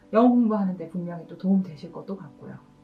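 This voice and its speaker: Noticeable background noise sits behind a woman speaking at a medium pitch with lively intonation. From Korean provinces, outside Seoul. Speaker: motivational speaker and career consultant. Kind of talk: casual vlog talk to camera. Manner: fast; loud.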